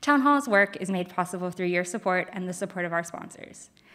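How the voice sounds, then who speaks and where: Against a quiet background, a woman speaks at a fairly quick pace with ordinary pitch variation. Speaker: event program manager. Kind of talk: formal event announcements. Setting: stage with audience, also streamed. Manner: formal. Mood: friendly, smiling. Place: stage. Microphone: studio mic.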